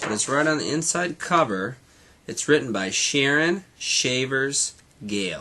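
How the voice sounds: The delivery uses a natural reading voice and lively intonation.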